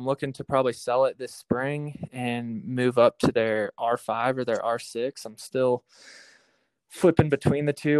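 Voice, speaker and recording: In a Midwestern US accent, a man speaks at a medium pitch with fairly even intonation, the sound dry and close with no echo. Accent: US Midwest. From Iowa. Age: 20s. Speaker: hunter and outdoor video creator. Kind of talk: casual interview. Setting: podcast. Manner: hesitant, filler-heavy.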